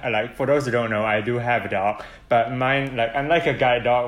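Speaking at a moderate pace, a man has a plain, everyday voice at medium pitch. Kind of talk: casual chat.

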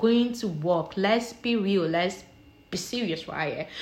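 Lively intonation from a woman, her voice somewhat breathy. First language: not English. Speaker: solo podcaster. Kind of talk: casual monologue. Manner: animated.

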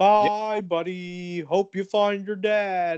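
Putting on a character voice, a man speaks high-pitched and very slowly in a monotone, flat delivery. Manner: put-on impression.

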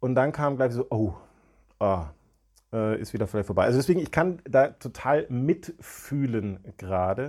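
With lively intonation at a fairly slow pace, an unremarkable speaking voice comes through on a very clean recording with a silent background. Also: man, medium pitch for a man. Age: 40s. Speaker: psychologist, podcast co-host. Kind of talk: casual explanatory chat.

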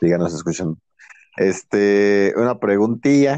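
A man with a Mexican accent at a very slow pace, fairly low in pitch, with a dark, mellow tone and a dry, close sound with no echo. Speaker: podcast co-host. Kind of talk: casual chat.

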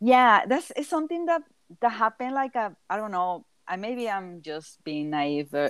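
Speaking at a moderate pace with a Mexican accent, a woman uses a fairly high voice with very wide pitch swings. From southern Mexico. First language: Spanish. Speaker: multidisciplinary artist. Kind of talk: casual interview.

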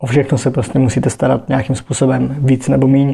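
Somewhat breathy and dark, mellow in tone, a man with a medium pitch speaks at a moderate pace with fairly even intonation. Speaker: podcaster. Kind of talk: casual monologue. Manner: halting.

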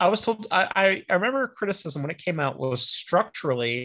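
With a bright, sharp tone, a man speaks at a moderate pace using very wide pitch swings. The background is quiet. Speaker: podcast co-host. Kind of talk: casual chat.

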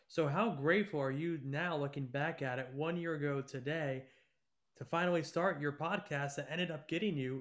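This man has an ordinary speaking voice, fairly high in pitch, with ordinary pitch variation. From upstate New York. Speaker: podcast host. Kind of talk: casual interview.

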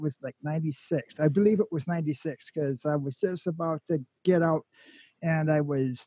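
A man speaks at a moderate pace with an American accent. His pitch varies in an ordinary way. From Minnesota, Forest Lake. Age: 40s. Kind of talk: casual radio chat.

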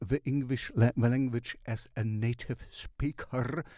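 Fairly slowly and with a German accent, a man speaks at a medium pitch in a dark, mellow tone. The recording is very clean, with a silent background. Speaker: music reviewer. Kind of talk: casual music review. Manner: halting.

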